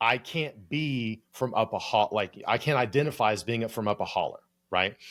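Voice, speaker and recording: In a very clean recording with a silent background, a man with an American accent speaks at a medium pitch with ordinary pitch variation. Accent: Appalachian accent, deliberately evened out. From Appalachia (US). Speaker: clinical psychologist turned creator coach, podcast co-host. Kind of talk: casual podcast discussion. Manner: casual, lots of filler words and swearing.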